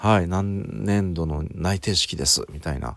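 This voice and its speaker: A man talks in a very deep, low pitch. The recording is very clean, with a silent background. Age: 30s. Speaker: podcast host and salesman. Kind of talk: solo monologue podcast.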